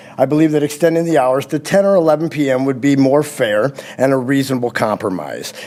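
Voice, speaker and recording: A man rushes along at a very fast pace, his pitch fairly high with ordinary variation, while noticeable background noise carries on behind him. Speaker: member of the public. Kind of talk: public comment at council meeting. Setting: council chamber. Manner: halting.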